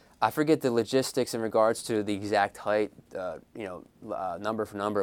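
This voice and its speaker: Over a silent background, a man speaks with fairly even intonation at a fairly low pitch. His pace is moderate, and the recording is very clean. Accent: Philadelphia. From Philadelphia. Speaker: author. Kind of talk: interview. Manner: frequent fillers and hesitations.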